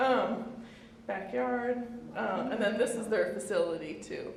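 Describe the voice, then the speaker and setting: A woman with an American accent speaks at a fairly slow pace in a fairly high pitch. Audible room echo and noticeable background noise fill the recording. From US Midwest, Bloomington, Indiana. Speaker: visual artist. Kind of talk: artist talk. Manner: hesitant, many fillers.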